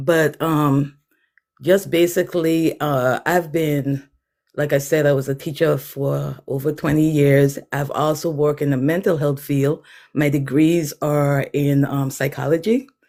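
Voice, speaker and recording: Speaking with a Virgin Islands accent, a woman uses a very deep, low pitch, fairly even intonation and a fairly slow pace. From US Virgin Islands, Saint Thomas. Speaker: author, artist and former teacher. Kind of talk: livestream self-introduction. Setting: livestream.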